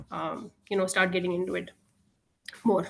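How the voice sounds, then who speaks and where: A woman speaks with a Tamil accent. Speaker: IT professional. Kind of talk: self-introduction. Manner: halting.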